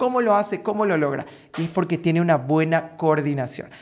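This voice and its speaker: A male speaker with ordinary pitch variation, set against a quiet background. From Paraguay. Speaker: vocal coach. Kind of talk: tutorial. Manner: animated. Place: home room. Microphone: studio mic.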